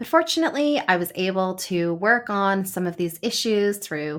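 Speaking in a normal speaking voice, a woman with a Canadian accent talks at a moderate pace and medium pitch with lively intonation, on a very clean recording with a silent background. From Canada, Toronto suburbs. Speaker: podcast host and lawyer. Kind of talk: solo podcast monologue.

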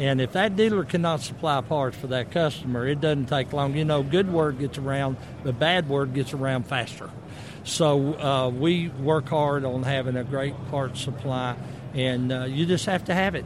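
A man with a Southern US accent speaks at a moderate pace, fairly high in pitch with ordinary variation. Noticeable background noise runs underneath. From US South. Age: 60s. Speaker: motorcycle company representative. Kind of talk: booth interview. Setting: expo booth.

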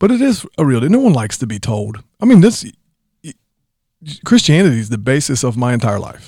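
A man's somewhat breathy, medium-pitched voice with a dark, mellow tone moves through very wide pitch swings and big swings in loudness, broken by long, frequent pauses. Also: fairly quick pace. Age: 40s. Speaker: church member co-host of a church podcast. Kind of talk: casual chat.

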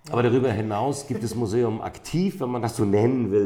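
A dark, mellow tone at a fairly quick pace. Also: man. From northern Germany, St. Peter-Ording (North Sea coast). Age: 50s. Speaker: amber expert and shop owner. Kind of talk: interview. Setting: in a shop.

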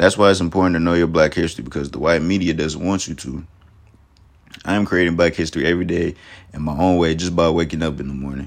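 This man talks at a very fast pace with a very deep, low pitch. His intonation is fairly even, and vocal fry runs through his voice. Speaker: college student. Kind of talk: prepared statement.

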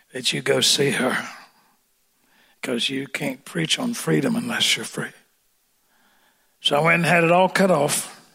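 With vocal fry and a bright, sharp tone, a man at fairly high pitch makes very wide pitch swings broken by long, frequent pauses. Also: fairly slow pace. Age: old. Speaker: preacher. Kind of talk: sermon. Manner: animated.

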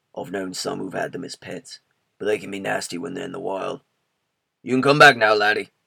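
Using a put-on character voice, a man talks at a fairly quick pace with a medium pitch. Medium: read story. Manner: firm, steady.

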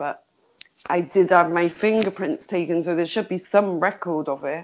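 Speaking in a Liverpool accent, a woman has a medium pitch. She keeps a moderate pace with ordinary pitch variation. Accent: Scouse. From Liverpool, England. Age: 40s. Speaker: survivor of prostitution, campaigner. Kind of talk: interview testimony.

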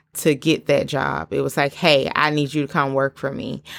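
With a Southern US accent and vocal fry, a woman speaks at a very deep, low pitch on a very clean recording with a silent background. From US South. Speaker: podcast host. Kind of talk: solo podcast monologue. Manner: animated.

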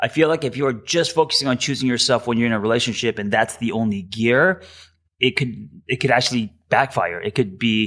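A man with an unremarkable speaking voice talks fairly quickly at a medium pitch with ordinary pitch variation, on a very clean recording with a silent background. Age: 40s. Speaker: therapist. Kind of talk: interview.

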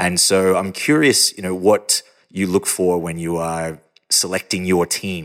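The recording is very clean, with a silent background. A man talks at a fairly slow pace, with a very deep, low pitch and ordinary pitch variation. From not Denmark. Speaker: podcast host. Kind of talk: interview.

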